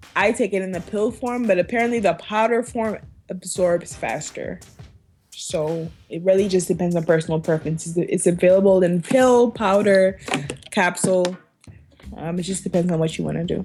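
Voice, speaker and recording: With an American accent, a woman at medium pitch talks at a moderate pace with ordinary pitch variation over music in the background. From Liberia. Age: 20s. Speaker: podcast guest. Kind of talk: casual chat.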